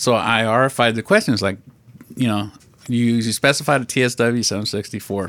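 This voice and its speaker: A man with a plain, everyday voice talks at a fairly quick pace, medium in pitch and with fairly even intonation. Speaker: podcast co-host. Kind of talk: casual chat.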